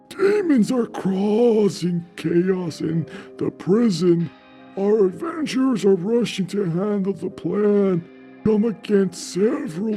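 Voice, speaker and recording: With clear music in the background, a man uses a put-on character voice pitched high, talking at a fairly slow pace. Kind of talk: theatrical episode intro. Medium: actual play.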